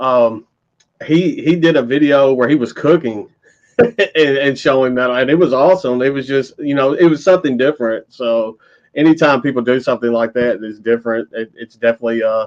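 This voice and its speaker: Speaking at a fairly quick pace, a man with a Southern US accent keeps a medium pitch and ordinary pitch variation. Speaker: metal YouTuber. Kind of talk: casual chat. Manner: articulate.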